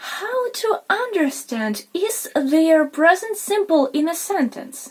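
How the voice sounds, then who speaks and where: A woman speaks very slowly with a non-native accent. Her pitch swings very widely. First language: not English. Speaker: English teacher, video creator. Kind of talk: tutorial. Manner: informal, slightly halting.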